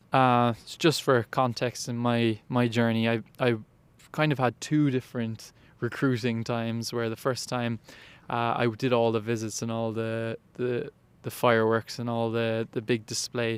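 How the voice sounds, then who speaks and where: A man with a Cork accent speaks at a medium pitch in a flat, monotone way. The recording is very clean, with a silent background. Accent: Cork Irish. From Ireland, west Cork. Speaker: college athlete. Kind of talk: interview. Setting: indoor arena. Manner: halting.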